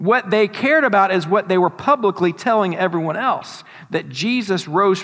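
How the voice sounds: The speaker reads in a natural voice.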